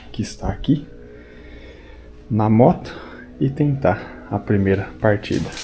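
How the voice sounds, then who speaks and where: The voice is quiet and very slow, with music in the background. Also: man. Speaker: motorcycle travel vlogger. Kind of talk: casual vlog narration. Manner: speaking quietly early morning.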